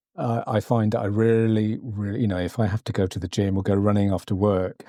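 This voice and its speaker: A dark, mellow tone in a British accent, with fairly even intonation, on a very clean recording with a silent background. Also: man, fairly low pitch for a man, fairly quick pace. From Britain. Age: 60s. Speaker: podcast host. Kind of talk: podcast interview. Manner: halting, many fillers and repeats.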